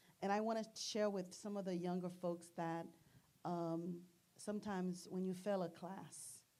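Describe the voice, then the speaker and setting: Audible room echo surrounds a woman with a dark, mellow tone. She talks at a moderate pace with monotone, flat intonation. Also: medium pitch for a woman. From Haiti. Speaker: nurse leader and educator. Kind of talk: interview. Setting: studio with live audience.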